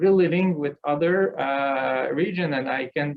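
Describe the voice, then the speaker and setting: With a Quebec accent, a man speaks in a fairly even intonation. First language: French. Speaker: business association executive. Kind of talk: panel talk. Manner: halting, many repetitions.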